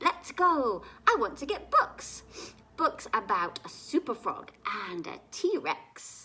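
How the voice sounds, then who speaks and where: A put-on character voice speaks in a high pitch at a fairly slow pace. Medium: read story.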